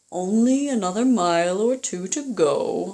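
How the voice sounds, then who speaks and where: A woman puts on a character voice, fairly high in pitch, at a moderate pace. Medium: read story.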